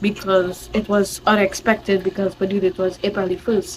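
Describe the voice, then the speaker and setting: With a Trinidadian accent, a woman talks at a fairly slow pace over noticeable background noise. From Trinidad and Tobago. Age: young. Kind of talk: casual storytime to camera.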